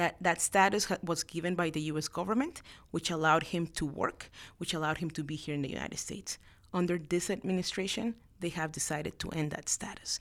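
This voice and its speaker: Talking at a very fast pace, a woman with a Spanish accent has a fairly low pitch and fairly even intonation. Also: very clean recording, silent background. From Latin America, immigrated to Houston, Texas at 13. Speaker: lawyer and congressional staffer. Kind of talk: interview.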